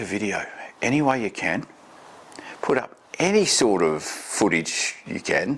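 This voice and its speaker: Swinging very widely in pitch around a medium level, a man speaks with an Australian accent over noticeable background noise. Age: 50s. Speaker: vlogger. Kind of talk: casual talk to camera. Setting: home desk, recorder 15 ft away. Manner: fast in talking-head videos. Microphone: far from the recorder.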